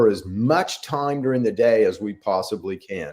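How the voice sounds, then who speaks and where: A man at a medium pitch talks in an animated tone. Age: 60s. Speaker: health podcast host, clinician. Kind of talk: casual health podcast monologue.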